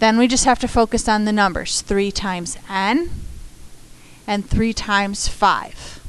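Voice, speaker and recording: A woman with an ordinary speaking voice talks at a fairly slow pace, her fairly high pitch showing ordinary pitch variation. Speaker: math teacher. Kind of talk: tutorial.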